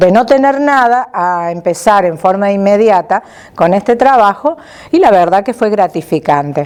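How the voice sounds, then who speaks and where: The speaker goes at a moderate pace with very wide pitch swings. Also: woman. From Argentina, Córdoba province (Las Varillas). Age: 60s. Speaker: retired administrative worker. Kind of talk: life story interview.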